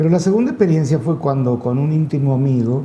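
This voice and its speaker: A man's fairly high voice carries ordinary pitch variation. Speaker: radio/TV host. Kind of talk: interview. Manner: hesitant, many fillers.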